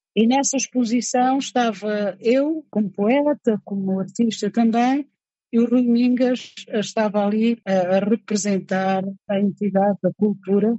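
The speaker sounds somewhat breathy, talking at a fairly slow pace with very even loudness and ordinary pitch variation. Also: woman, fairly high pitch for a woman. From Angola, Cabinda. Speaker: writer and poet. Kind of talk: interview testimony.

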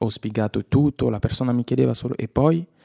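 A dark, mellow voice with ordinary pitch variation comes through dry and close with no echo against a quiet background. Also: man. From DR Congo, Kinshasa. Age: 20s. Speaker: refugee actor. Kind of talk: personal testimony.

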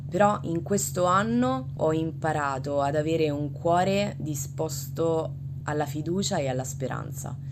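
There is noticeable background noise behind this woman. She talks fairly slowly in a very deep, low voice with fairly even intonation. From Italy. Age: 20s. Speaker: religion teacher. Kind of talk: testimony.

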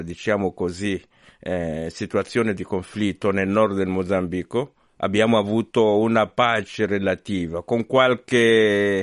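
A man's fairly low voice with ordinary pitch variation, dry and close with no echo, over a quiet background. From Mozambique. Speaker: priest and radio journalist. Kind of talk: radio interview. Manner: halting.

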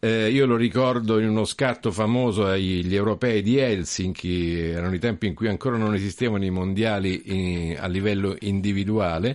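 A man with a plain, everyday voice, fairly low-pitched, at a moderate pace with ordinary pitch variation and hardly any pauses. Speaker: radio host. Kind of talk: radio interview. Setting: studio.

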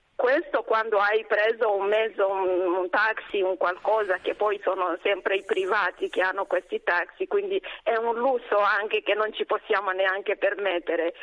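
A woman speaks at a fairly slow pace in a medium pitch, with ordinary pitch variation and very even loudness. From DR Congo, South Kivu. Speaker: nun, superior general of a congregation. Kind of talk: radio interview. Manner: hesitant, many fillers.

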